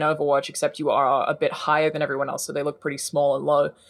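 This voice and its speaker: Speech races along at a very fast pace in an Australian accent. The recording is very clean, with a silent background. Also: woman. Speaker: gaming journalist. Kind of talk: casual chat.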